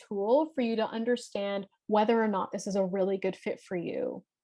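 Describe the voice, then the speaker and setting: Fairly high in pitch, a woman's voice shows ordinary pitch variation. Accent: Canadian. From Canada, Toronto (Scarborough). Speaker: life and leadership coach. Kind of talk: workshop presentation. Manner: loud; fast.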